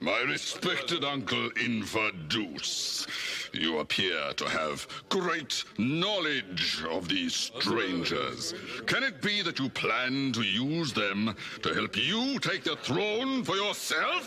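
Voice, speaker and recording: Over clear background noise, a man does a cartoonish character voice at a very slow pace. His medium pitch makes very wide swings, while his loudness stays very even. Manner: commanding.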